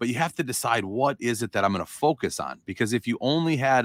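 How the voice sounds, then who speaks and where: Captured with a dry, close sound, no echo and a very clean recording over a silent background, a man talks at a moderate pace. He has an unremarkable speaking voice with ordinary pitch variation. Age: 40s. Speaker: real estate coach. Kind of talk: interview. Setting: kneeling on office floor for podcast.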